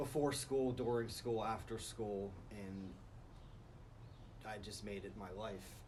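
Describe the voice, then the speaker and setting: A man with a fairly low pitch speaks at a very slow pace, somewhat breathy, with ordinary pitch variation, long and frequent pauses, and audible room echo. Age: 30s. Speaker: recovering drug addict. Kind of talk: interview testimony.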